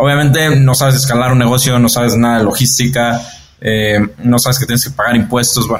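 The speaker talks at a fairly quick pace in a monotone, flat intonation and very even loudness, somewhat breathy, with audible room echo. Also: man, medium pitch for a man. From Mexico. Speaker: entrepreneur. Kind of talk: interview. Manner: halting, many repeated words and fillers.

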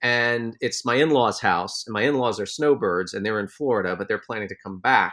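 In a normal speaking voice with an American accent, a man talks at a fairly quick pace and medium pitch with ordinary pitch variation, recorded very cleanly against a silent background. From United States. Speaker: journalist, podcast co-host. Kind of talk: casual chat.

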